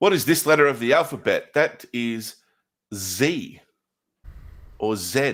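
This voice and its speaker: A man speaks at a fairly high pitch with vocal fry and very wide pitch swings. He leaves long, frequent pauses on a very clean recording with a silent background. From Scotland. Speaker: streamer, card opening host. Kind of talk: casual livestream chat.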